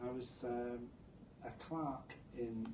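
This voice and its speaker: Slight Scottish accent with audible room echo. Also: man. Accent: slight Scottish burr. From Scotland, Dundee. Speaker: public health executive. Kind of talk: interview. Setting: stage with audience.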